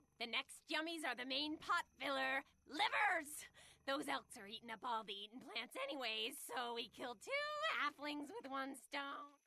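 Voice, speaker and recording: This is a put-on character voice that sounds female. It sits high in pitch for a woman and keeps a moderate pace. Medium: video game. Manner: gleeful, crude.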